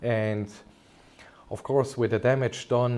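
A man at a moderate pace, dark and mellow in tone, with monotone, flat intonation. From Germany. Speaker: consultant orthopaedic surgeon. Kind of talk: medical webinar presentation. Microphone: webcam.

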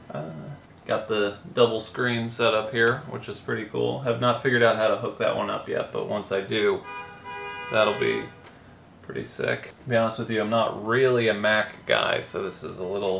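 Music in the background and audible room echo around a man's voice. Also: moderate pace. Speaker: vlogger. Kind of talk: casual vlog chat. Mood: relaxed, lightly frustrated. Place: home room. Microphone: camera far.

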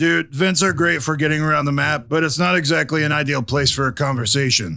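At a fairly quick pace, a man speaks with a fairly high pitch. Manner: nervous, conspiratorial.

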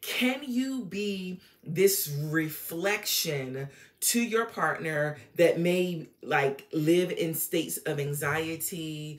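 Speaking with an American accent, a woman uses a fairly low pitch and lively intonation at a very slow pace. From Norfolk, Virginia, US; Virginia. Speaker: relationship coach / YouTuber; relationship coach, YouTuber. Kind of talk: casual monologue / educational talk. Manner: conversational, with filler words. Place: home room. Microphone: phone near.

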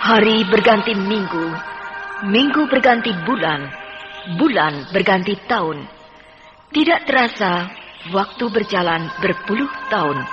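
Over clear music in the background, a woman speaks at a medium pitch and fairly slow pace. Her pitch swings very widely, and she leaves long, frequent pauses. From Indonesia. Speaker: radio drama narrator. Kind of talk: radio drama narration. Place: studio.

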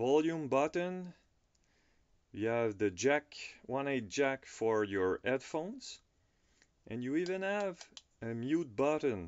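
The speech moves at a very slow pace over a quiet background. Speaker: product reviewer. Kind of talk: unboxing review commentary. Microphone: phone near.

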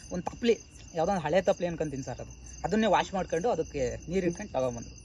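A man speaks with lively intonation. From Karnataka, Alur near Hassan. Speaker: shelter resident, recovered alcoholic. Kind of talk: interview testimony.

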